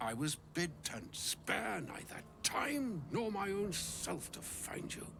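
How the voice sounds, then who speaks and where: A man uses a put-on character voice, pitched high. He barely pauses, and background noise is clearly audible. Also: fairly slow pace. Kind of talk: archaic high-fantasy speech. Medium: video game. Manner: flowery, grandiloquent.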